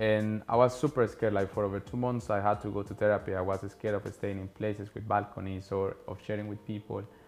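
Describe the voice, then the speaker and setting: A man's very fast, monotone, flat delivery in a Spanish accent, fairly low in pitch with hardly any pauses, over music in the background. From Colombia. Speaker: podcast host, traveling entrepreneur. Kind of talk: casual monologue.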